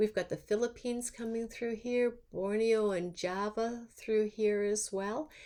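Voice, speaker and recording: A woman speaks at a fairly high pitch. Her tone is dark and mellow. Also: fairly slow pace. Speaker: university lecturer. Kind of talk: recorded lecture. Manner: halting, many fillers.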